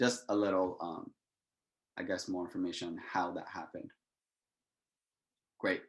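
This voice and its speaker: The speaker moves at a moderate pace, with long, frequent pauses and big swings in loudness. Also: man. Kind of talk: lecture. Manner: casual.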